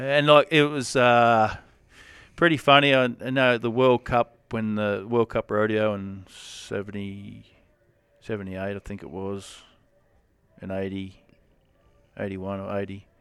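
A man with an Australian accent, fairly low-pitched, at a fairly slow pace, with long, frequent pauses, ordinary pitch variation and big swings in loudness. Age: 40s. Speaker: rodeo cowboy. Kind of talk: casual interview. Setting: at a rodeo event.

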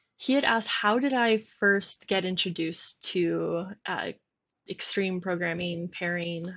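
This woman has a plain, everyday voice at medium pitch, with an American accent. She speaks at a fairly slow pace with ordinary pitch variation. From Michigan. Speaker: software developer and product manager. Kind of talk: casual chat. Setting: video call.

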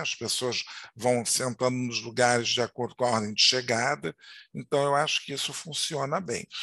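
Against a quiet background, a man speaks at medium pitch with a bright, sharp tone. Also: dry, close sound with no echo. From Rio de Janeiro, Madureira. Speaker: podcast host. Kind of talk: casual interview chat.

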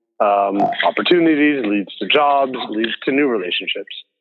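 A man with an American accent, fairly slow pace and ordinary pitch variation. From Houston, Texas. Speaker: film writer and director. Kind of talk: casual interview conversation. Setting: video call.

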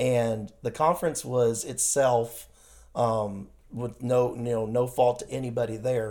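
A man's medium-pitched voice with a dark, mellow tone, at a fairly slow pace and with fairly even intonation. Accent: American. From US Midwest. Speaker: missionary. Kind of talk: casual interview.

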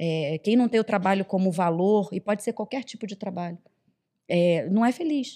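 Dry and close with no echo, a woman's dark, mellow voice moves at a moderate pace. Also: medium pitch for a woman, ordinary pitch variation, very clean recording, silent background. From Rio de Janeiro, Brazil. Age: 40s. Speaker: HR executive. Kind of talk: podcast interview. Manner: hesitant, many fillers.

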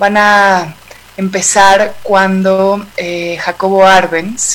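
A woman speaks at a medium pitch with monotone, flat intonation. Noticeable background noise sits behind her. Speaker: podcast producer. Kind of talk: interview.

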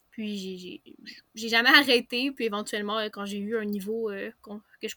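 A woman with a Quebec accent, a bright, sharp tone, fairly high pitch, fairly even intonation and a fairly slow pace. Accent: Québécois. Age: young. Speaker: novelist and graphic designer. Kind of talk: interview.

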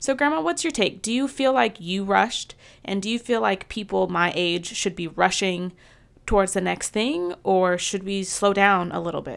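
On a very clean recording with a silent background, a woman with an ordinary speaking voice talks at a moderate pace in a medium pitch with lively intonation. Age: 20s. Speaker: podcast host. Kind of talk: interview.

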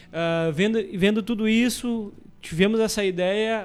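A man speaks with fairly even intonation. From Camaquã, Rio Grande do Sul, Brazil. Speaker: entrepreneur. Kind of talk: radio interview. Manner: halting.

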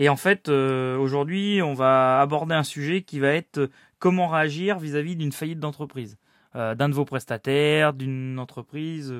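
Fairly high in pitch with fairly even intonation, a man's voice comes through a dry, close sound with no echo in a very clean recording with a silent background. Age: 30s. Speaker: building project manager and podcast host. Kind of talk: solo podcast talk. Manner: hesitant, many fillers.

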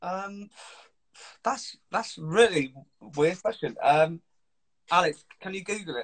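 Using a southern English accent, a man talks at a very slow pace with a high pitch, ordinary pitch variation, big swings in loudness, and long, frequent pauses. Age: 20s. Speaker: musician. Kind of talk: casual chat. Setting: video call.

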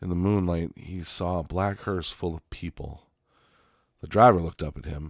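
Very deep and low, a man's voice carries a playful tone with fairly even intonation. The recording is very clean, with a silent background. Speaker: podcast host reading stories. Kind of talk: horror narration, hushed and suspenseful reading aloud of creepy stories. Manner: playful, laughing between stories.

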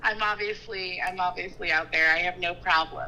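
Music plays in the background as a woman speaks. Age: 30s. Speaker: weight loss coaching client. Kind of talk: casual chat.

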